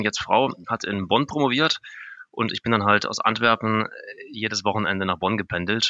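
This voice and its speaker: With an ordinary speaking voice, a man talks at a moderate pace and a medium pitch. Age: 30s. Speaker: software developer. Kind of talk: interview.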